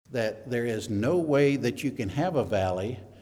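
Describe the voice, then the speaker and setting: Lively intonation and a dark, mellow tone carry a Southern US accent, with audible room echo. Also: man. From US South, Mississippi. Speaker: elder, preacher. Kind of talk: sermon. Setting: church. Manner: halting, many fillers.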